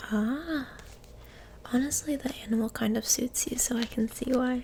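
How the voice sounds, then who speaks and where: The voice is soft-spoken. It moves at a moderate pace. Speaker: ASMR creator. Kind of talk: ASMR roleplay, interviewer asking questions.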